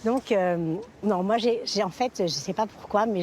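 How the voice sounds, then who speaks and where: Noticeable background noise accompanies speech at a moderate pace with ordinary pitch variation. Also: woman. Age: 60s. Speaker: senior model and influencer. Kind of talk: TV interview.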